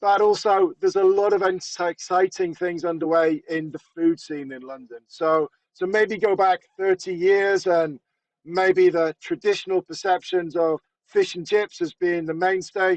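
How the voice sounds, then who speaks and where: A man with a British accent, high in pitch, fairly slow and fairly even in intonation, in a dry, close sound with no echo. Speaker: retail industry presenter. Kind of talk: webinar presentation.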